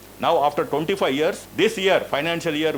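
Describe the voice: A man speaks with a fairly high pitch for a man and ordinary pitch variation. His tone is fairly bright.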